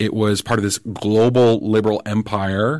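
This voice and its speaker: An American accent marks this man, with an unremarkable speaking voice and fairly low pitch. His intonation is fairly even, on a very clean recording with a silent background. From New Jersey, US. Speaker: political commentator. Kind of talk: casual chat. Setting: studio.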